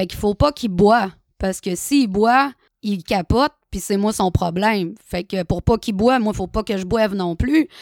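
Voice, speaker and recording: The recording is very clean, with a silent background and a dry, close sound with no echo. A woman talks fairly slowly in a plain, everyday voice, at a medium pitch with ordinary pitch variation. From Quebec, Saguenay-Lac-Saint-Jean (Chicoutimi). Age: 30s. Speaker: recovering alcoholic sharing her story. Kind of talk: personal testimony.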